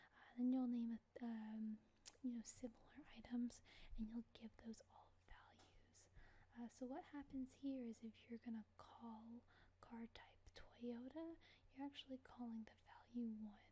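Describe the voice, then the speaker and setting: The voice whispers at a fairly slow pace. It is soft-spoken, with a relaxed tone. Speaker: ASMR video creator teaching programming. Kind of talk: ASMR programming tutorial, casual talk to camera. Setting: close microphone recording, dogs in the background. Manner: soft-spoken, whispering, relaxed.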